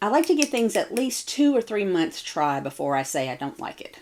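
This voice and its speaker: Her voice carries vocal fry as this woman's pitch swings very widely. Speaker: beauty vlogger. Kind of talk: casual get-ready-with-me vlog.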